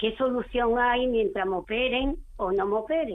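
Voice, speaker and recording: At a fairly slow pace, a woman speaks in a high voice with ordinary pitch variation. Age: 60s. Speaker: caller. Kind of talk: call-in question. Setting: phone call.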